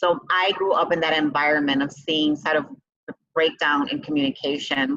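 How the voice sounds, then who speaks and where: A woman with a Chicago accent has a very deep, low pitch. She talks at a moderate pace with ordinary pitch variation. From Chicago, south side. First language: Spanish. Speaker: business owner and CEO. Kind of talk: interview.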